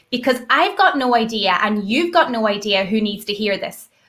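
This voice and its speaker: With an Irish accent, a woman speaks in a fairly high, bright, sharp voice with lively intonation. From Ireland. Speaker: network marketer, former teacher. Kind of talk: live video call hosting.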